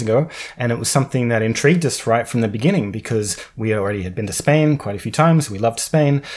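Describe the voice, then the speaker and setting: Talking at a very fast pace, a man with an Australian accent uses lively intonation. Noticeable background noise runs behind him. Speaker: podcast co-host. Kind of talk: casual chat.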